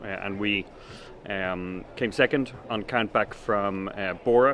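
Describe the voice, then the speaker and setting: The speaker is a man with a Dublin accent. His pitch sits fairly low. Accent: Irish (Dublin). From Ireland, Dublin. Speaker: sailing team owner. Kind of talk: interview. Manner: hesitant, many fillers.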